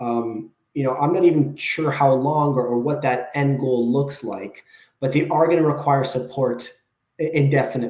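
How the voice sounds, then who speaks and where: A somewhat breathy man speaks at a fairly high pitch and moderate pace. His intonation stays fairly even. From Canada, Toronto area. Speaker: behaviour analyst. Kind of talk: interview.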